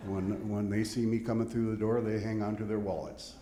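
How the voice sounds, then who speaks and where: A man speaks with audible room echo. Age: 70s. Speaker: audience member, volunteer fundraiser. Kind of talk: audience question.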